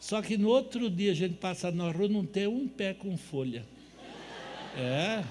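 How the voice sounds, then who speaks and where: With lively intonation and a high pitch, a man speaks at a fairly slow pace, leaving long, frequent pauses. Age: 70s. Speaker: natural health lecturer. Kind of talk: lecture. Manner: animated.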